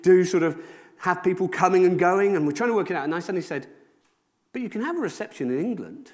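A man speaks very fast in a South Wales accent. His voice is high-pitched. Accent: South Wales Welsh English. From Wales, South Wales valleys. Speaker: pastor. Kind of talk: sermon.

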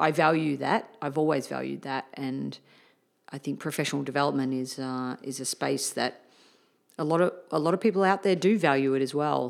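A woman with an Australian accent talks at a fairly quick pace in a very deep, low voice on a very clean recording with a silent background. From Australia, Melbourne. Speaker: tennis coach and speaker. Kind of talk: casual interview.

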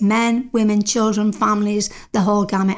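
Recorded very cleanly against a silent background, a woman with a plain, everyday voice speaks at a medium pitch and a fairly quick pace. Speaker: counselor, workshop leader and poet. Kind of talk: casual radio interview. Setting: radio studio.

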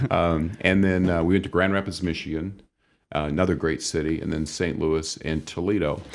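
A man with a Midwestern US accent talks at a fairly quick pace. His very deep, low pitch stays in a flat monotone. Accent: US Midwest. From northwest Iowa. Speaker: healthcare executive. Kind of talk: interview. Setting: home studio.

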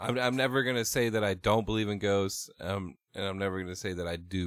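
In a very clean recording with a silent background, a man speaks at a moderate pace and fairly low pitch in an unremarkable speaking voice. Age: 30s. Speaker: former podcast co-host. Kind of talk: casual chat. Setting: studio.

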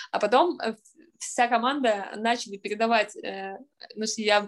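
Pitch variation is ordinary. The speech moves at a moderate pace. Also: woman. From Russia, St Petersburg. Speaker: artist. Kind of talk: interview.

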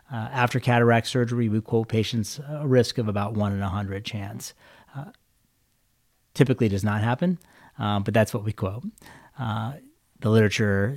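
On a very clean recording with a silent background, a man with a Californian accent speaks fairly low at a moderate pace, with long, frequent pauses. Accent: General American (Californian). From California Central Valley, Visalia. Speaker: eye surgeon. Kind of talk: interview. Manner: hesitant, many fillers.

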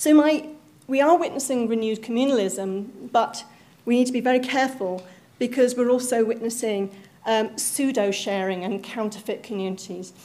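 A woman with an unremarkable speaking voice keeps a moderate pace, her fairly high pitch varying in an ordinary way. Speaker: academic researcher in social geography. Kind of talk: panel talk presentation.

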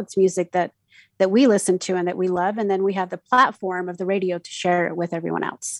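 A woman speaks at a medium pitch with fairly even intonation. The sound is dry and close with no echo, over a quiet background. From Mexico City, raised in Utah from age ten. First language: Spanish. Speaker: community radio DJ. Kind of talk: casual interview. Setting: video call.

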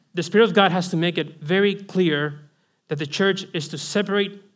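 Against a silent background on a very clean recording, a man speaks at a high pitch with fairly even intonation. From Spain and North Alabama. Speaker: pastor. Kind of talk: sermon. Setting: church.

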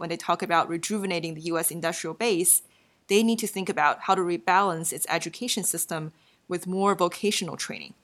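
A woman talks very fast at medium pitch with ordinary pitch variation and a Chinese accent, on a very clean recording with a silent background. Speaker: podcast host. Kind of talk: scripted conversational podcast.

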